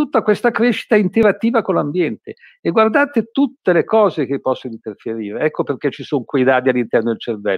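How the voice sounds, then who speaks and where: A man talks at a very fast pace, his pitch swinging very widely. The sound is dry with no echo, and the background is quiet. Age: 80s+. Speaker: physician and medical author; guest. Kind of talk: presentation. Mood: engaged, opinionated. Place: home room. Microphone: video call.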